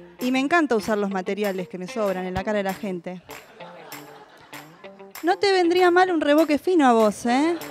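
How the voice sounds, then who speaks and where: In an Argentine accent, a woman speaks at a high pitch with very wide pitch swings, a moderate pace and long, frequent pauses, in a dry sound with no echo and faint music in the background. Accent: Argentine Rioplatense. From Buenos Aires, Argentina. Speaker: stand-up comedian. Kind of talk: stand-up comedy monologue. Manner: lively, punchy comic delivery. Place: stage. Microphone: handheld.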